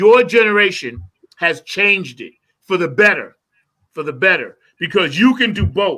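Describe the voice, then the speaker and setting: In a raised, projected voice, a man with a high, bright, sharp tone speaks at a moderate pace with lively intonation. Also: big swings in loudness. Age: 60s. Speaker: musician. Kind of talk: casual chat.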